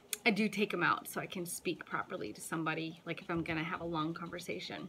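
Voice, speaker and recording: Over noticeable background noise, a woman with a fairly low pitch speaks at a very fast pace, with ordinary pitch variation and big swings in loudness. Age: 30s. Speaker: vlogger. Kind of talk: casual vlog talk to camera.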